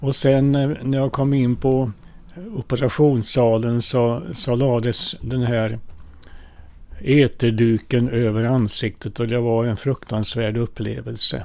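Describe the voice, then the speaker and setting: This man speaks at a very slow pace in a medium pitch. His intonation stays fairly even. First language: Finnish (speaking Swedish). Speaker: priest. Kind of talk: personal life story.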